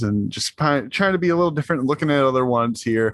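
A man's ordinary speaking voice with an American accent, fairly high in pitch with lively intonation, dry and close with no echo, over a quiet background. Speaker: podcast co-host. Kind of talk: casual chat.

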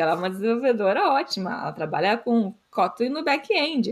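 A woman with a plain, everyday voice talks at a moderate pace with lively intonation. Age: 20s. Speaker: developer relations engineer, podcast co-host. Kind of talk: casual chat.

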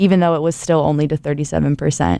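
A woman talks in an American accent with a dark, mellow tone. The sound is dry and close with no echo, over a quiet background. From Ohio. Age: 20s. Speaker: university student, social media organizer. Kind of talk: casual podcast discussion.

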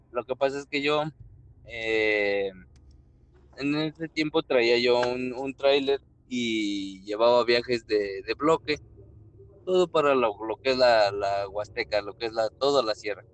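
Over noticeable background noise, a man at a medium pitch speaks at a very slow pace with ordinary pitch variation and long, frequent pauses. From Mexico, Querétaro. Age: 20s. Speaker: truck driver and miner. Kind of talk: storytelling in casual chat.

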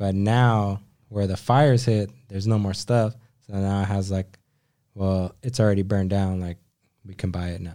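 Speaking at a moderate pace with long, frequent pauses, a man uses a fairly low pitch and a dark, mellow tone. He has a Californian accent and fairly even intonation. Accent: California. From Southern California (Whittier). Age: 20s. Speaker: automotive photographer. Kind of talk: casual chat.

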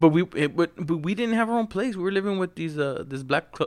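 This man has an unremarkable speaking voice, talks at a fairly quick pace with lively intonation, and is captured in a very clean recording against a silent background. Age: 30s. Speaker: podcast co-host. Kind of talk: casual chat. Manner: laughs often.

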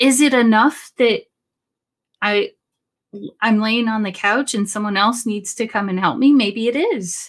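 On a very clean recording with a silent background, a woman with a high voice speaks fairly slowly, with ordinary pitch variation. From Sacramento, California. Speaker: podcaster living with chronic pain. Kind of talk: casual interview.

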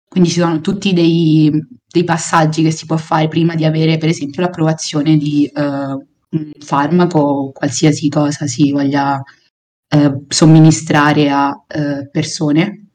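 In a Roman accent, a woman speaks at a fairly slow pace with a very deep, low pitch. Her dark, mellow tone stays monotone and flat. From Rome, Italy. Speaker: biology master's student. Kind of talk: casual chat explaining science.

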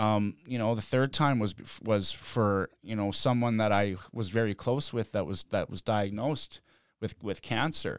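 In a very clean recording with a silent background and a dry, close sound with no echo, a man with an unremarkable speaking voice talks at a fairly slow pace in a fairly low pitch with ordinary pitch variation. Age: 30s. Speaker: skateboarder in addiction recovery. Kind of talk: casual chat. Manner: casual, filler-heavy with frequent 'man' and 'like'.

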